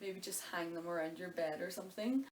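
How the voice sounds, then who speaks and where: A woman speaks in a Donegal accent. Her pitch is medium and her pace moderate. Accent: Donegal Irish. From Ireland. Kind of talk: casual talk to camera. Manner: chatty, informal.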